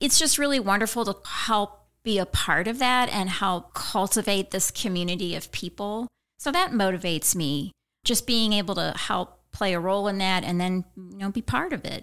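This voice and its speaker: Bright, sharp tone from a woman with ordinary pitch variation, on a very clean recording with a silent background. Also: medium pitch for a woman, moderate pace. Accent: American. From eastern Missouri. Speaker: conservation nonprofit director. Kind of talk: interview.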